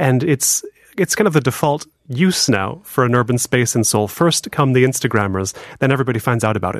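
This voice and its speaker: A man's medium-pitched voice with an American accent, an unremarkable speaking voice, lively intonation and a fairly quick pace, in a dry, close sound with no echo. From Los Angeles, US. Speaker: urbanism writer. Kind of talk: casual chat. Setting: studio.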